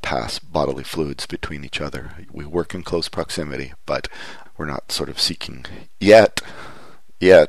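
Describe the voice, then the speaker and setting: In a Canadian accent, a man talks at a moderate pace with ordinary pitch variation. Background noise is noticeable. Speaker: podcast host. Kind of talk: casual chat. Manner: halting.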